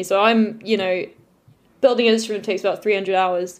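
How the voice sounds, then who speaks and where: In an RP accent, a woman speaks at a medium pitch. Her intonation is monotone and flat. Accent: Queen's English, received pronunciation. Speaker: luthier. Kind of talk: casual interview chat.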